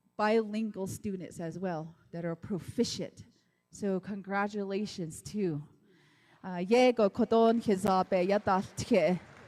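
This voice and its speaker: A woman with a medium pitch and a dark, mellow tone speaks at a very slow pace with long, frequent pauses and fairly even intonation. Her loudness swings widely, and the recording is very clean with a silent background. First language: Navajo. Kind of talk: ceremony speech.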